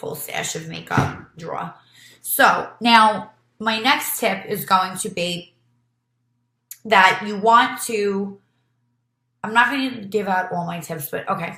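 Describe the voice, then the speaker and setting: With a New York accent, a woman speaks at a very slow pace with long, frequent pauses, a bright, sharp tone and big swings in loudness. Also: medium pitch for a woman, ordinary pitch variation. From New York City, Brooklyn. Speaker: beauty vlogger and nurse. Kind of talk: tutorial. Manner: casual, with many fillers.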